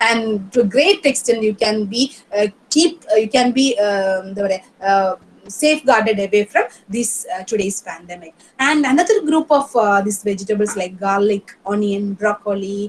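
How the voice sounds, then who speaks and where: Her intonation lively, a woman talks at a fairly high pitch. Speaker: professor, resource speaker. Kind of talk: lecture. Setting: online webinar. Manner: halting, hesitant with fillers.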